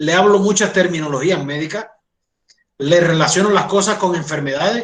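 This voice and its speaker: High-pitched male speech in a Cuban accent, with ordinary pitch variation and a moderate pace. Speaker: doctor and college lecturer. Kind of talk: lecture. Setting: online class.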